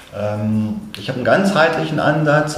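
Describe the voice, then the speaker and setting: A man at a fairly slow pace with ordinary pitch variation, audible room echo and noticeable background noise. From Hanover, Germany. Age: 50s. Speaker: business consultant and photographer. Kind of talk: casual interview. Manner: hesitant, many fillers.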